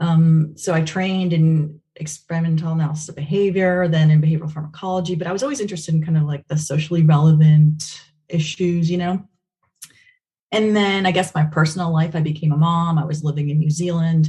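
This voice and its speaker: A woman's fairly low, somewhat breathy voice with a dark, mellow tone and monotone, flat intonation. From Venezuela. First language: Spanish. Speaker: behavior analysis researcher. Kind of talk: podcast interview.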